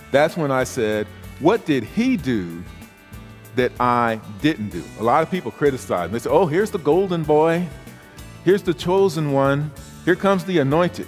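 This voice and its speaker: A man's American accent at a moderate pace, with very wide pitch swings, long, frequent pauses and music in the background. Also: fairly high pitch for a man. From South Carolina, USA. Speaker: professional keynote speaker and author. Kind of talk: keynote speech with humor and stories. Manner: blunt, conversational, humorous.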